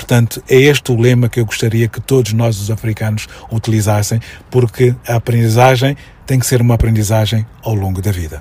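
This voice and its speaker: A man speaks at a fairly quick pace with fairly even intonation, with noticeable background noise around him. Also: medium pitch for a man. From Mozambique (Maputo, Mafalala). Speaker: educator and commentator. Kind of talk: radio interview.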